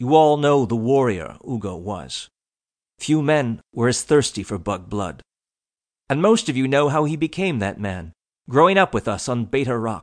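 Speaking at a moderate pace over a quiet background, a man with a medium pitch makes very wide pitch swings. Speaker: audiobook narrator. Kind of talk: audiobook fiction narration, comic eulogy read in character. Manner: mock-solemn, formal.

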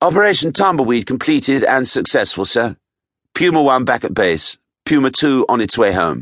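A man at a medium pitch and moderate pace, with vocal fry, very wide pitch swings and very even loudness, in a dry, close sound with no echo and a quiet background. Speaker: audiobook narrator. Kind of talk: scripted audiobook narration, thriller. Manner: dramatic, suspenseful, measured.

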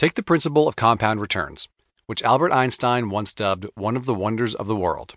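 A man speaks at a fairly quick pace against a quiet background. His is a normal speaking voice with ordinary pitch variation. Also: medium pitch for a man. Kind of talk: audiobook reading. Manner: even, measured, earnest.

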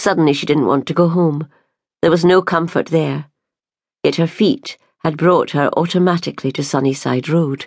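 Over a quiet background, a woman with a Scottish accent speaks in a solemn, gentle tone at a fairly low pitch with ordinary pitch variation. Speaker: audiobook narrator. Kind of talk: dramatic audiobook narration. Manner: emotive, tender and solemn; gentle, slow-paced, with character voices.

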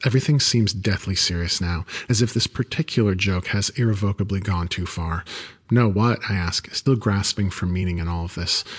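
A man with a fairly low voice speaks at a fairly quick clip, somewhat breathy, with ordinary pitch movement over a quiet background. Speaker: audiobook narrator. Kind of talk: ghost story telling, hushed and suspenseful, with character voices for dialogue.

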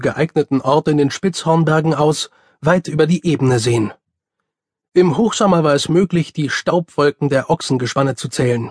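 An unremarkable speaking voice from a man with a fairly high pitch and ordinary pitch variation. He talks at a moderate pace against a quiet background. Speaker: audiobook narrator. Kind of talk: dramatic audiobook narration, reading fantasy prose aloud.

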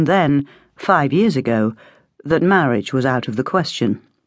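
The background is quiet as a woman speaks at a fairly slow pace. Her pitch makes very wide swings. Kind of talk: audiobook narration. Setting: studio. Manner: measured, steady storytelling pace.

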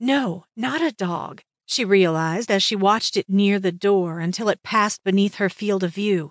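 In an unremarkable speaking voice, a woman talks at a moderate pace and medium pitch with ordinary pitch variation and hardly any pauses, the sound dry and close with no echo and the background quiet. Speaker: audiobook narrator. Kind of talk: audiobook narration of paranormal romance, dramatic reading with character voices.

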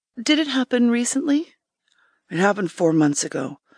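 Against a quiet background, a woman uses a dramatic tone with very wide pitch swings and vocal fry at a moderate pace, the sound dry and close with no echo. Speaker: audiobook narrator. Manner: measured, calm therapist narrator.

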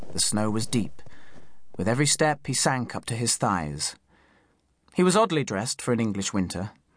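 Against a quiet background, a man speaks in a dramatic tone with very wide pitch swings and long, frequent pauses. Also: medium pitch for a man, moderate pace. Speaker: audiobook narrator. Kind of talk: scripted audiobook narration, dramatic storytelling. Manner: dramatic, hushed and suspenseful, shifting into gruff character voices.

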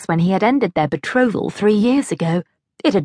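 An unforced reading voice carries lively intonation against a quiet background.

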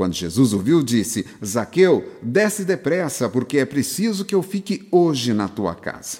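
A man with a dark, mellow tone and vocal fry speaks fairly slowly with hardly any pauses, his fairly high voice making very wide pitch swings. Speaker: audiobook narrator. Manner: earnest, exhortative, preacherly.

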